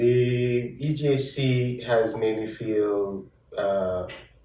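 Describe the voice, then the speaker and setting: A man speaks at a medium pitch with ordinary pitch variation, with music in the background and audible room echo. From Jamaica. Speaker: chief medical officer, physician. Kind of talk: casual interview. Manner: halting, many fillers.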